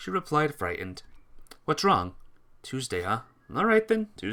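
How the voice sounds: This is a natural reading voice. It is heard throughout.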